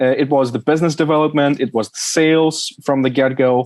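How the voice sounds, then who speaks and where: Fairly high male voice with a Russian accent and fairly even intonation. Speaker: supply chain specialist. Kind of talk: interview.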